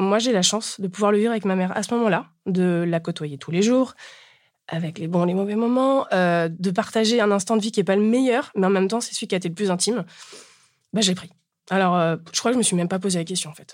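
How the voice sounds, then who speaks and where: Speaking at a very fast pace, a woman with a medium pitch comes through in a very clean recording with a silent background. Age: 30s. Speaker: bereaved daughter sharing her story. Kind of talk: testimony. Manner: casual, colloquial.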